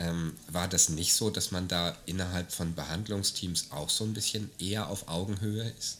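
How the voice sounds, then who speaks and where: A man with a very deep, low voice speaks at a moderate pace with hardly any pauses. His pitch varies in an ordinary way. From Germany. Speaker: podcast host. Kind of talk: casual chat.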